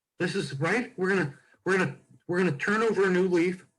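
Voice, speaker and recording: This man speaks with ordinary pitch variation. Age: 60s. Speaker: comedian and podcast co-host. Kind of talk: casual chat. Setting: video call.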